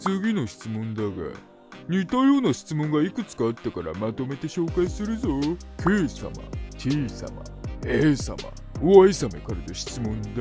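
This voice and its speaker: A man speaks at a moderate pace in a put-on character voice, with clear music playing in the background. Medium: dub. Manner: casual, laid-back.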